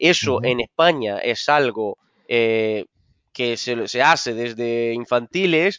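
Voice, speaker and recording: Very slowly, a man talks at a medium pitch. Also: ordinary pitch variation. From Brazil. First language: Portuguese (speaking Spanish). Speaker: football coach. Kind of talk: interview. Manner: halting, with many repetitions.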